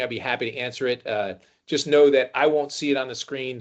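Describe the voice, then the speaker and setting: This man talks at a very fast pace in a fairly high pitch. His intonation stays fairly even. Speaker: contact center industry consultant. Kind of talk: webinar presentation. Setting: online webinar. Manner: many fillers and repetitions.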